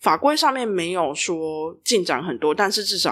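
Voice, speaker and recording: A woman speaks in a plain, everyday voice, fairly low in pitch, with lively intonation at a moderate pace on a very clean recording with a silent background. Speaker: regulatory affairs specialist. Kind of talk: explanatory podcast chat. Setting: empty office.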